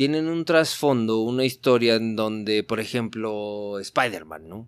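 Moving at a very slow pace, a man speaks with lively intonation. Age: 40s. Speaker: superhero figure collector. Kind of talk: casual chat.

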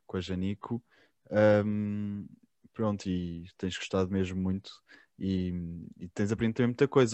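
In a European Portuguese accent, a man speaks with a very deep, low pitch. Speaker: podcast host. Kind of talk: casual interview.

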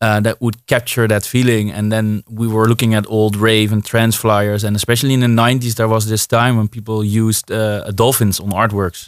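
A man with a Dutch accent, fairly low in pitch, talking at a fairly quick pace with hardly any pauses and monotone, flat intonation. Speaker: DJ. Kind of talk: casual chat. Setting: studio.

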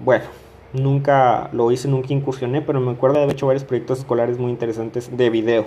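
Monotone and flat, a man speaks at a very fast pace. His medium-pitched voice has a dark, mellow tone. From Mexico, Coahuila. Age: 20s. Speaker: podcaster. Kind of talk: casual monologue.

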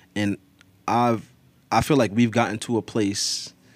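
A man with an ordinary speaking voice talks at a moderate pace, his pitch fairly low with ordinary variation. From northern New Jersey, Teaneck area. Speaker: army veteran. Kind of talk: casual chat.

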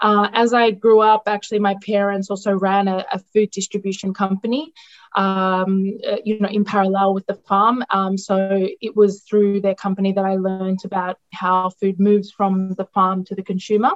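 A woman with an Australian accent, monotone and flat in intonation, medium in pitch, at a moderate pace with hardly any pauses. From Australia, outskirts of Melbourne. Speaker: nutritionist in international development. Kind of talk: interview. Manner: halting, many fillers.

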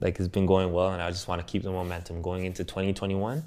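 Very fast speech with fairly even intonation on a very clean recording with a silent background. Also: man. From Toronto, Canada. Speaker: musician and producer. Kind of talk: casual interview. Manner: casual, filler-heavy.

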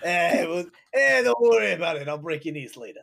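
A gravelly, put-on character voice delivers the lines at a moderate pace. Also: man, high pitch for a man. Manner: menacing.

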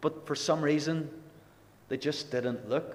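With a Northern Irish accent, a man speaks at a moderate pace with fairly even intonation, and audible room echo surrounds his voice. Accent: Northern Irish (Ulster). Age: 20s. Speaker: lay preacher. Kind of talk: sermon. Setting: gospel hall with congregation.

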